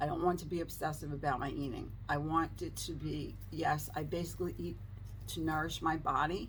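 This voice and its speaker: In a room with audible echo, a woman speaks at a moderate pace with a very deep, low pitch, vocal fry and fairly even intonation. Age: 60s. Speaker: lifestyle vlogger. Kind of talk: casual vlog talk to camera.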